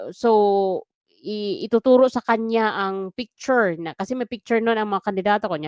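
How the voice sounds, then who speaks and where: With ordinary pitch variation, an unremarkable speaking voice proceeds at a moderate pace. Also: woman. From Philippines. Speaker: OFW vlogger, former election inspector. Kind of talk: solo vlog commentary.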